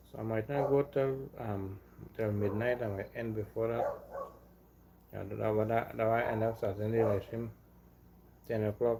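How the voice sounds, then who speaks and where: Speaking in a Trinidadian accent, a man with a medium pitch and a dark, mellow, somewhat breathy tone talks at a moderate pace in a flat monotone. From Trinidad and Tobago. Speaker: live streamer. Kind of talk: casual chat. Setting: live stream at home. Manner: halting, repetitive.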